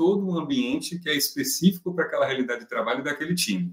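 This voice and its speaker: Fairly quick speech with very wide pitch swings. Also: man. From Brazil, Salvador (Bahia). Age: 30s. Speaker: corporate HR and operations director. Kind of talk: interview.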